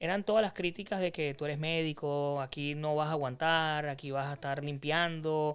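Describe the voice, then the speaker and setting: This man has a fairly high voice with a monotone, flat delivery and a Venezuelan accent. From Venezuela (Carabobo). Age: 30s. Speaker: physician turned insurance agency owner, entrepreneur. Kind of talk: podcast interview.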